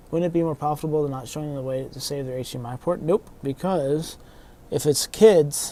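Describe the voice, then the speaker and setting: Moving at a fairly quick pace, a man speaks with a dark, mellow tone. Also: fairly high pitch for a man, ordinary pitch variation, big swings in loudness. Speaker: console repair technician streamer. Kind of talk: casual livestream chat. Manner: mumbling.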